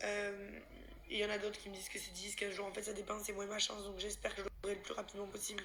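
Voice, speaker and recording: Woman's medium-pitched voice at a very fast pace, with noticeable background noise and audible room echo. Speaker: vlogger. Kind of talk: personal vlog. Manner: halting.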